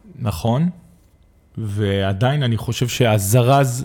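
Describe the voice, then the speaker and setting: A man talks in a dark, mellow tone. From Israel, Arad. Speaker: nonprofit director, former school principal. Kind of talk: intimate interview conversation.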